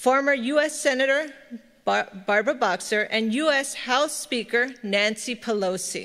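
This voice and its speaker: A bright, sharp tone with lively intonation at a fairly slow pace, against a quiet background. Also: woman. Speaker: professor. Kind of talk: formal welcome speech. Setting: stage with audience. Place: hall. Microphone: podium.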